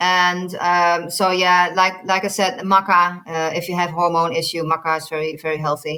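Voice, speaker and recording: A woman with a fairly low pitch and a bright, sharp tone talks at a moderate pace with hardly any pauses, her intonation monotone and flat. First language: not English. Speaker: nutritionist. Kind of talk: interview. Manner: halting, many repeated words.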